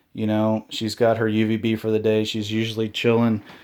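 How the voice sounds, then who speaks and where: Words come at a fairly quick pace. Behind them the background is silent, and the recording is very clean. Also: man. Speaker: reptile keeper and video creator. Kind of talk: tutorial. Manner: loud; casual.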